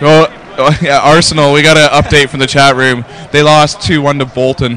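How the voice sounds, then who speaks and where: Over noticeable background noise, someone with a Canadian accent speaks at a moderate pace with fairly even intonation. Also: man, fairly high pitch for a man. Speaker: esports commentator. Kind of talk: live commentary; casual chat.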